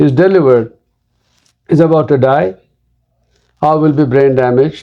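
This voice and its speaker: A man speaks in a Telugu accent at a fairly high pitch. His pace is moderate, his loudness very even, with ordinary pitch variation. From India (Andhra Pradesh). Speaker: pediatric neurologist. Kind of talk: interview.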